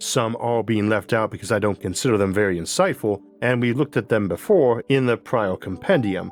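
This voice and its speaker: With music in the background, a man talks at a fairly quick pace with ordinary pitch variation and hardly any pauses. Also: medium pitch for a man. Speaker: science video host. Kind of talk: scripted narration.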